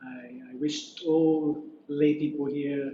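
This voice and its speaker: A fairly high-pitched man with a British accent, amid noticeable background noise. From Scotland. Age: 40s. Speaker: Buddhist monk. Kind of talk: dharma talk. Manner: halting.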